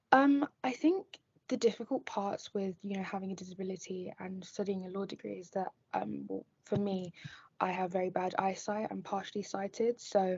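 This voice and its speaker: Speaking at a moderate pace and medium pitch, the woman has a plain, everyday voice, ordinary pitch variation, and big swings in loudness. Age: 20s; young. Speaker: law student and model. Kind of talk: interview.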